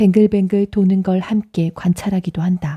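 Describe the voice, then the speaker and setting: Her tone dark, mellow, calm and soothing, a woman speaks at a medium pitch with monotone, flat intonation, somewhat breathy and fairly slow, in a dry, close sound with no echo. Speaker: audiobook narrator. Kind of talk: audiobook reading. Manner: calm, soothing.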